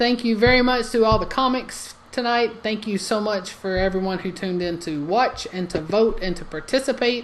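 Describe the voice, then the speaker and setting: A woman's medium-pitched voice in a Southern US accent, at a moderate pace with ordinary pitch variation, over noticeable background noise. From Alabama. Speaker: comedy show host. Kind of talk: live online comedy show hosting. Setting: live online stream. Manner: animated.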